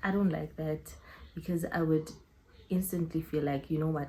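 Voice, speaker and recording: A woman speaks at a very deep, low pitch. Her tone is dark and mellow, and somewhat breathy. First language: not English. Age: 20s. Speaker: YouTuber. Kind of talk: casual vlog Q&A. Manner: animated.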